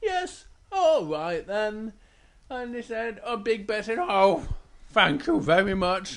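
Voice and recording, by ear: Someone reads aloud here in a natural voice.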